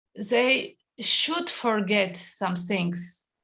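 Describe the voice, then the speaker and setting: A woman speaks very slowly at a medium pitch. Her voice is somewhat breathy. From Georgia, Tbilisi. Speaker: novelist and filmmaker. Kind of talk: interview. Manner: halting, many fillers.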